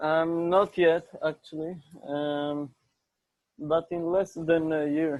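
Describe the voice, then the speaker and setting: Speaking very slowly with long, frequent pauses, a man with an Israeli accent keeps a flat, monotone intonation at a fairly high pitch. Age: young. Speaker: interview guest. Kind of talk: casual chat.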